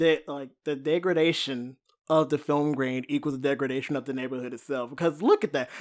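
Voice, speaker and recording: On a very clean recording with a silent background, a man with an ordinary speaking voice talks at a fairly quick pace, fairly high in pitch and with fairly even intonation. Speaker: horror podcast host. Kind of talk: casual film review discussion.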